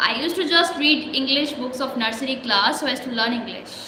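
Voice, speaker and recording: With an Indian accent, a woman speaks at a high pitch with ordinary pitch variation, amid noticeable background noise and audible room echo. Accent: Indian English (Hindi speaker). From India, Jhansi area. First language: Hindi. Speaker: English-learning vlogger. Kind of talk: motivational talk, spoken practice monologue. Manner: hesitant, with fillers and restarts.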